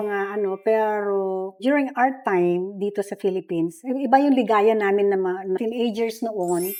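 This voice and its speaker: This woman has a medium-pitched voice with a dark, mellow tone. She speaks fairly slowly, with ordinary pitch variation. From Philippines. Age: 70s. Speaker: retired nurse. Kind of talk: interview answer.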